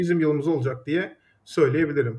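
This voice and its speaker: A man speaks with ordinary pitch variation. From Turkey, Düzce. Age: 30s. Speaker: startup founder. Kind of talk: interview. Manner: hesitant with frequent fillers.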